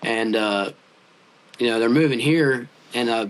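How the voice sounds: At a fairly slow pace, a man speaks with a medium pitch. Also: ordinary pitch variation.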